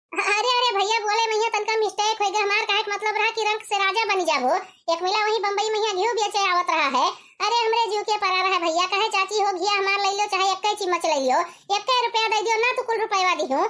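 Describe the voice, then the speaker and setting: In a cartoonish character voice, a woman talks very fast at an extremely high pitch, with ordinary pitch variation and very even loudness. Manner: talkative, bargaining, boastful.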